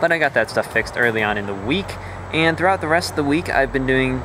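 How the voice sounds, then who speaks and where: Noticeable background noise accompanies a man. He talks fairly quickly with very wide pitch swings. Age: 18. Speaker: indie game developer vlogger. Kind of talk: casual video log.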